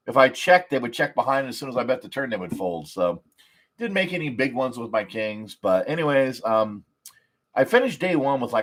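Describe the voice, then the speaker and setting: On a very clean recording with a silent background, a man speaks at a medium pitch with lively intonation. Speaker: poker player vlogger. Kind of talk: casual livestream recap. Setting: live stream. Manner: loud; animated.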